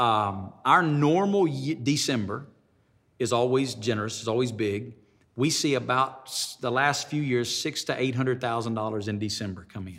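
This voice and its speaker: Speaking with a Southern US accent, a man keeps to a medium pitch. His pace is moderate, with ordinary pitch variation. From Alabama. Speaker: pastor. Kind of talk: interview. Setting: studio.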